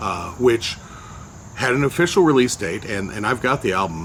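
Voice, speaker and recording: Over noticeable background noise, a man at a medium pitch talks at a fairly quick pace with lively intonation. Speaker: entertainer and blogger. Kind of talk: personal storytelling monologue. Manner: hesitant, many fillers.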